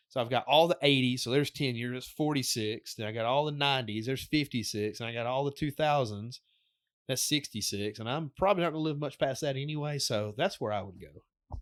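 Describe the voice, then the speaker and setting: The recording is very clean, with a silent background. A man with an ordinary speaking voice talks at a fairly quick pace, his medium pitch showing ordinary variation. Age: 30s. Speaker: podcaster. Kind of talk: casual chat.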